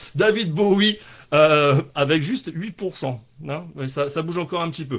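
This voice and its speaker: A man with a fairly high pitch speaks with ordinary pitch variation. The recording is very clean, with a silent background. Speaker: livestream comedy show host. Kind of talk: casual live stream chat. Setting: live stream at home with sunset backlight. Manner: fast; animated.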